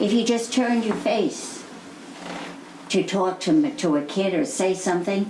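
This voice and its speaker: A woman with an American accent and a medium pitch speaks at a moderate pace with lively intonation, very even loudness and long, frequent pauses, amid audible room echo and noticeable background noise. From New York City. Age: 80s+. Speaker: interviewee. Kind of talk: oral history interview. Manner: halting.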